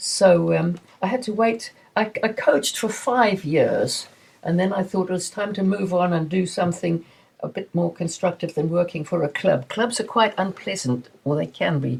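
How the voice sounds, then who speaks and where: Somewhat breathy and lively in intonation, a woman speaks at a moderate pace. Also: medium pitch for a woman. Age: 80s+. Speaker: masters swimmer, former swimming coach. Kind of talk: interview answer. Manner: enthusiastic.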